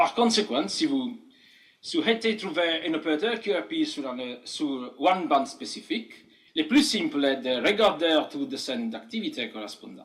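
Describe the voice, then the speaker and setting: A man's high voice with a non-native accent and very wide pitch swings, in a room with audible echo. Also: moderate pace. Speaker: amateur radio operator. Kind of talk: conference talk. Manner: halting, many hesitations.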